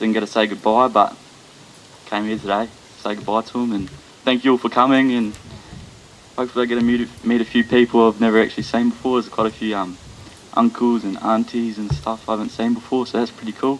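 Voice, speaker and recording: A man with a New Zealand accent talks at a very fast pace in a medium pitch, sounding nervous. His intonation stays fairly even over noticeable background noise. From Australia. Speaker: son of the deceased. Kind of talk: eulogy. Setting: funeral gathering. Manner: nervous, hesitant with many ums.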